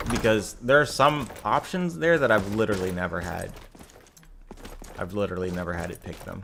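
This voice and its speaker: Over noticeable background noise, a man with a fairly low pitch talks at a fairly quick pace, his lively intonation broken by long, frequent pauses and big swings in loudness. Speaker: gaming streamer. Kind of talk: gameplay commentary. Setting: live stream. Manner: casual, rambling.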